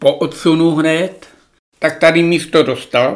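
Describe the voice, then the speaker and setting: He moves at a very slow pace. The voice belongs to a man. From Czech Republic, Šumava region. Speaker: former gamekeeper. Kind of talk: reminiscing interview. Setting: at home.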